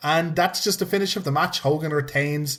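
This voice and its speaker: Animated and somewhat breathy, a man speaks fairly quickly at a fairly high pitch with ordinary pitch variation. The recording is very clean with a silent background. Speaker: wrestling podcast host. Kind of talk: casual chat. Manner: halting.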